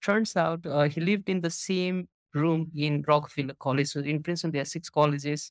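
In a Nepali accent, the speaker talks at a fairly quick pace with fairly even intonation, in a very clean recording with a silent background and a dry, close sound with no echo. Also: man, fairly high pitch for a man. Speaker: startup co-founder. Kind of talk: casual interview conversation. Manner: casual, filler-heavy.

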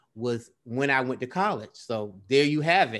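In a quiet background, a man with a plain, everyday voice talks at a fairly slow pace, his medium pitch showing ordinary variation. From US South, Belle Glade, Florida. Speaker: poet. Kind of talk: interview.

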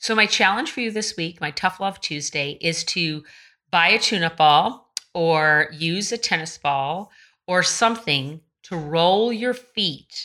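On a very clean recording with a silent background, a woman speaks at a fairly slow pace in a bright, sharp, animated tone with lively intonation. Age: 50s. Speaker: running coach. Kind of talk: casual solo podcast talk.

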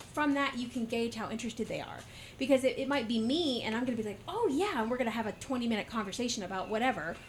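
With noticeable background noise behind her, a woman with an American accent talks very fast at a high pitch with ordinary pitch variation. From US South, Georgia (Warner Robins). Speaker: podcast host and market vendor. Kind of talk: casual interview. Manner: talkative.

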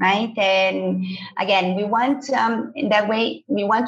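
A woman speaks with a Portuguese accent. Her voice is somewhat breathy. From Brazil. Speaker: business school admissions head. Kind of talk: podcast discussion.

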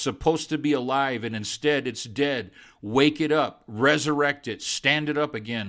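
This is an unremarkable speaking voice from a man. He talks at a moderate pace with ordinary pitch variation. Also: very clean recording, silent background. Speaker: preacher. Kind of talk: sermon-style devotional talk with prayer. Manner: fervent, pleading, repetitive rhythm building in prayer; warm, conversational.

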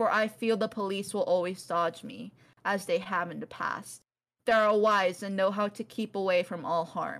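Reading aloud in a natural voice over a quiet background.

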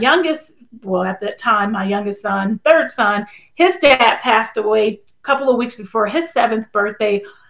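A woman with an American accent speaks in a normal speaking voice. Her pitch is fairly high, her intonation lively, and her pace moderate. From California, Bay Area. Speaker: author and entrepreneur. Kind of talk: interview.

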